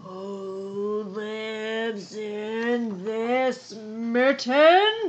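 The speaker puts on a character voice with a fairly high pitch.

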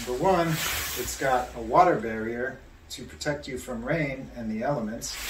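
Ordinary pitch variation at a fairly slow pace, with noticeable background noise. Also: man. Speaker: product reviewer. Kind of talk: product review. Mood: upbeat, recommending. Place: home room. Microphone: phone near.

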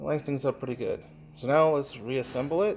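A man's voice at a moderate pace with ordinary pitch variation, music in the background. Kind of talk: tutorial. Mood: relaxed, matter-of-fact. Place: workshop. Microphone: phone near.

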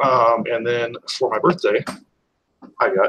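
A man with an American accent talks at a fairly slow pace over light background noise. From US West (Utah). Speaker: retro gaming enthusiast. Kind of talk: casual chat. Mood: relaxed, casual. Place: home room. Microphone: video call.

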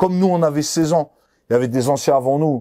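In a dark, mellow tone, a man talks at a moderate pace over a quiet background. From France. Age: 40s. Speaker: former criminal; interviewee. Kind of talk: interview. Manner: casual, hesitant with many fillers. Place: studio. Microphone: lapel.

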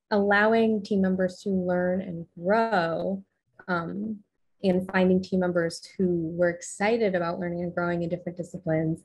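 Monotone, flat intonation and a somewhat breathy voice at a moderate pace, over a quiet background. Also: woman. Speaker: podcast guest. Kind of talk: interview answer. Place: home room. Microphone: studio mic.

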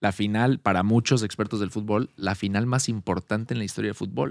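A man talks at a fairly quick pace in a fairly low voice with ordinary pitch variation. The sound is dry with no echo, and the background is quiet. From Mexico City. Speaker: podcast host. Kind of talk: casual chat. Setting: at a home. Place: studio. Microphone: studio mic.

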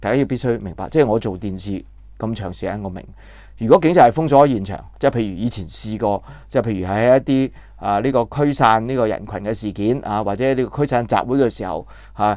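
A man talks at a fairly quick pace with ordinary pitch variation. The sound is dry with no echo, and the background is quiet. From Hong Kong. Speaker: political commentator, former TV journalist; political commentator. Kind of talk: news commentary monologue. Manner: halting, many filler sounds. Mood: indignant, critical. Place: home room. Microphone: lapel.

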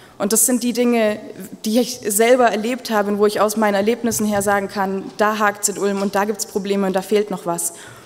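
A woman talks at a fairly quick pace in a monotone, flat intonation. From Ulm, Swabia, southern Germany; Swabia. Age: 20s. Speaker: mayoral candidate; candidate. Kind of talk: campaign speech. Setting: public event with audience. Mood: earnest, lightly humorous. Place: hall. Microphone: podium.

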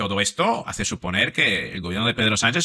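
A man's bright, sharp tone with very wide pitch swings against a quiet background. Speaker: psychologist commentator. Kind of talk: commentary. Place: home room. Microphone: studio mic.

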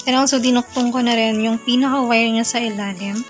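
Clear background music behind a woman's moderately paced voice. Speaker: unboxing vlogger. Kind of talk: casual unboxing vlog chat. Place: home room.

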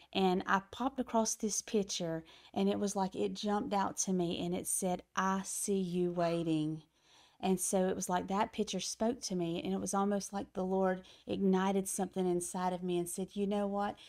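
Against a quiet background, a woman speaks at a moderate pace with fairly even intonation. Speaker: pastor guest. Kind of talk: interview answer, personal testimony. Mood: warm, earnest, reflective. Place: studio. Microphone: studio mic.

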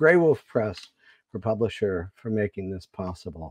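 A man's dark, mellow tone at a moderate pace, dry with no echo, over a quiet background. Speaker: literary organization director. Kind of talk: formal introduction. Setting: video call. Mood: warm, formal. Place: home room. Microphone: earbuds.

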